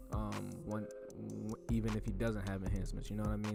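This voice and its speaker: A man talks in a relaxed tone at a fairly quick pace, with audible room echo and music in the background. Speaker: barber. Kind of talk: tutorial voiceover. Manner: casual, relaxed.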